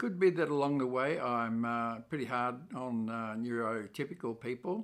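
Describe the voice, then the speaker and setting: A man's fairly slow, lively speech at a medium pitch, with an Australian accent. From Australia, Melbourne. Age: 70s. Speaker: YouTuber and author. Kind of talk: channel introduction monologue. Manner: scripted, with hesitations.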